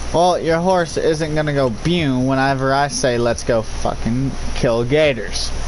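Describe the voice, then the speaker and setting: A fairly slow delivery with very even loudness and ordinary pitch variation, plus audible room echo and noticeable background noise. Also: man, fairly high pitch for a man. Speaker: gaming streamer. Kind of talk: live gameplay stream chat. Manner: animated, shouting at times.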